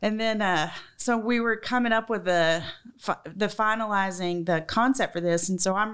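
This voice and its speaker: A woman speaks with a Southern US accent. The recording is very clean, with a silent background. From Georgia, US South. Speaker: restaurant chef and owner.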